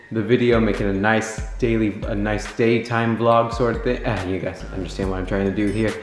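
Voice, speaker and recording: A man talking at a fairly quick pace with hardly any pauses, monotone and flat, over faint music and audible room echo. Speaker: vlogger. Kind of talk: casual vlog chat. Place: home room. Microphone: phone near.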